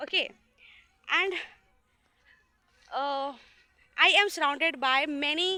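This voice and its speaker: A woman projects her voice, raised and with a bright, sharp tone. Her intonation stays fairly even. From India. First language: not English. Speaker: student. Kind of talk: casual vlog talk to camera. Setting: outdoors. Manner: hesitant, many filler sounds.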